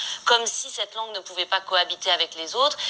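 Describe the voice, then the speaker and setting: Noticeable noise fills the background. The woman's intonation stays fairly even. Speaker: author. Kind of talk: interview.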